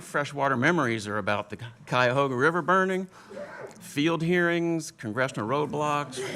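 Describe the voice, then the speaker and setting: With noticeable background noise behind him, a man with an American accent talks at a moderate pace and a fairly high pitch. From Washington DC area. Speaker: panelist. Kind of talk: panel discussion.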